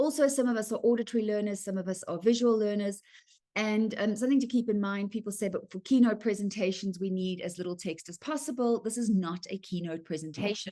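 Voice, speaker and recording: A woman's medium-pitched, dark, mellow voice with a South African accent, very fast pace and ordinary pitch variation. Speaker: writing workshop presenter. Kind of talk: online presentation. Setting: video call from home. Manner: fast when excited.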